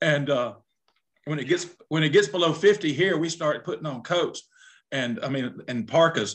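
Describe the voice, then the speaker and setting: A man with an Alabama accent talks at a fairly high pitch and a moderate pace, with ordinary pitch variation, over a quiet background. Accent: US Southern (Alabama). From southern Alabama. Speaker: retired high school football coach. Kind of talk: casual chat.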